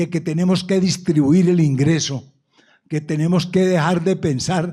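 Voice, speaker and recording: A man's voice comes through in a dark, mellow tone. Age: 70s. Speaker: businessman and panelist. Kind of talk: panel discussion. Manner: halting, repeats words.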